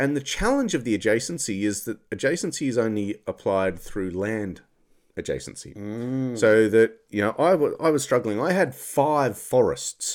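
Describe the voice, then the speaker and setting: In a very clean recording with a silent background, a man talks at a moderate pace. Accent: Australian. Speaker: podcast co-host. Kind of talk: casual chat. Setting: studio.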